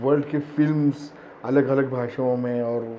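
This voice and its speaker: A man's monotone, flat delivery comes with audible room echo. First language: Marathi (speaking Hindi). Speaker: actor. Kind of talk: interview. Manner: hesitant, many fillers.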